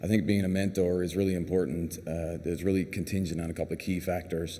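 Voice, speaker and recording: A man with a Newfoundland accent speaks at a very fast pace in a very deep, low pitch with monotone, flat intonation. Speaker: clinical pharmacist, award recipient. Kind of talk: award acceptance speech.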